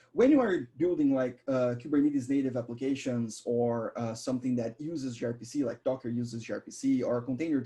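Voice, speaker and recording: At a fairly quick pace, a man speaks with a dark, mellow tone, medium pitch and fairly even intonation. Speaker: software developer advocate. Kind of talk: live coding tutorial. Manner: fast.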